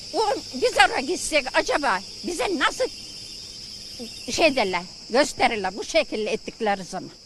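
Against noticeable background noise, a woman in a raised, projected, high voice speaks at a fairly slow pace with very wide pitch swings and long, frequent pauses. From Muğla, Turkey. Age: 70s. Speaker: villager protesting tree felling. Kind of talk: interview answer. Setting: outdoors.

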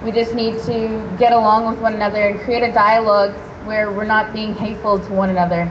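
A woman's fairly high, monotone voice with flat intonation at a moderate pace, over noticeable background noise. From Canada, British Columbia (Haida First Nation); British Columbia, Canada. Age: young. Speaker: activist speaker at a rally; speaker. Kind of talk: public speech. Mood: calm, conciliatory. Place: street.

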